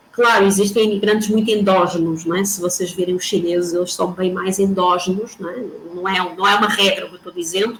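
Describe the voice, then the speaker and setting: Noticeable background noise and audible room echo surround a woman who speaks at a fairly quick pace in a monotone, flat way. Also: medium pitch for a woman, hardly any pauses. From Portugal. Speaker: professor. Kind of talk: lecture.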